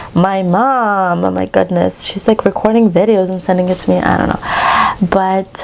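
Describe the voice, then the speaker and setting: Noticeable background noise sits behind a woman speaking at a moderate pace with hardly any pauses. Her pitch is medium, with fairly even intonation. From western Ukraine. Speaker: cross-stitch vlogger. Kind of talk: casual chat.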